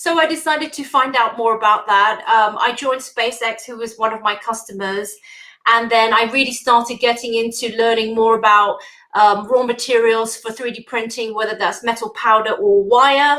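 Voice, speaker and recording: In a British accent, a woman with a fairly high, bright and sharp voice speaks at a moderate pace with fairly even intonation and big swings in loudness. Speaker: engineer, industry manager. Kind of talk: conference talk. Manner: hesitant, many fillers.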